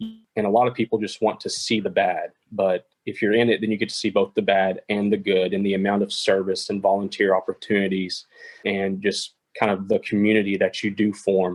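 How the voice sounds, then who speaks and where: Talking at a fairly quick pace with an East Texas accent, a man is recorded with a dry, close sound and no echo. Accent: Southern US (East Texas). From East Texas (Longview). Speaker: podcast guest. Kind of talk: casual interview chat.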